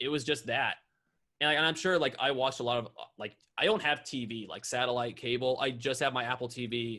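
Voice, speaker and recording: A man with an American accent talks at a fairly quick pace. His tone is bright and sharp. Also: medium pitch for a man, ordinary pitch variation. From North Carolina. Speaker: YouTuber and drummer. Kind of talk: podcast interview. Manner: fast; casual.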